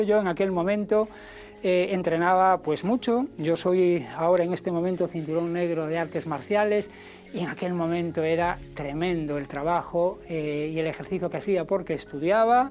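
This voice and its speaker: Over background music, a man talks at a moderate pace with a high-pitched voice. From Spain, Galicia (Ferrol). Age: 60s. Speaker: health and nutrition presenter. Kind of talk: personal testimony and health talk. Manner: hesitant, with fillers and repetitions.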